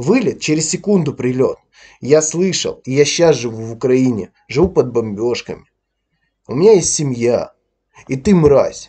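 Lively intonation, a somewhat breathy voice with a dark, mellow tone, long and frequent pauses, and a quiet background. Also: man, fairly high pitch for a man. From Ukraine, Donbas. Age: 30s. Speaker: YouTube blogger. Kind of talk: angry video commentary rant. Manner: aggressive.

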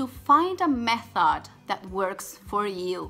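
A woman with a Spanish accent and fairly high pitch, faint music in the background. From Venezuela. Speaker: Spanish teacher. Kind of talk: channel trailer to camera. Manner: upbeat. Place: home room. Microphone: phone near.

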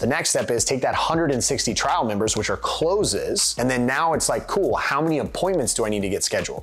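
Lively intonation at a fairly quick pace. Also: man. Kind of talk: interview answer. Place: home room.

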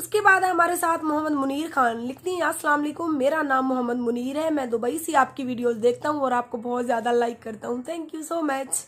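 Barely pausing, a woman with a high voice talks at a moderate pace with ordinary pitch variation. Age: 20s. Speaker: YouTuber; radio host vlogger. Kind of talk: Q&A reading comments to viewers. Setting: sitting in bed under a blanket. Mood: warm, thankful. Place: home room. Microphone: phone near.

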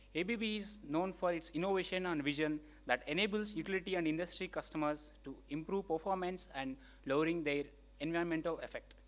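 This man has a high pitch. He talks at a fairly quick pace. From India. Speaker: event emcee. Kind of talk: formal introduction. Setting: stage with audience. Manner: halting. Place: hall. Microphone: podium.

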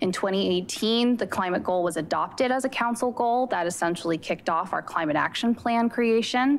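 A woman with a fairly high voice speaks at a moderate pace, with hardly any pauses and very even loudness. She has an unremarkable speaking voice. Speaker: city climate and natural resources manager. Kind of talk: staff presentation to city council. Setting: council chambers, also streamed by video conference. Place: hall. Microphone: podium.

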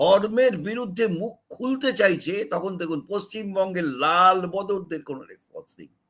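A man with a high pitch talks with big swings in loudness. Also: ordinary pitch variation. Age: 70s. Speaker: political commentator. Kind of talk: opinion monologue.

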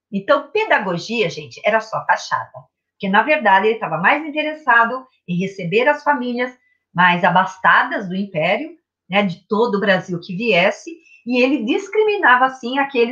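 A woman speaks with lively intonation in a bright, sharp tone. The background is quiet. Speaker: literature teacher. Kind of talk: lecture. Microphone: webcam.

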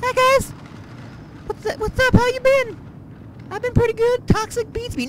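In a cartoonish character voice, a man speaks at an extremely high pitch, monotone and flat, at a moderate pace with long, frequent pauses and light background noise. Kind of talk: comic puppet voice. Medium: puppet show. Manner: whiny, tattling, mock-pitiful.

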